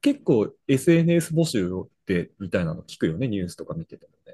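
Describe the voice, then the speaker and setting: The man talks at a fairly quick pace, and the sound is dry and close with no echo. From Brazil. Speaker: podcast co-host, office worker. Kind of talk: casual chat.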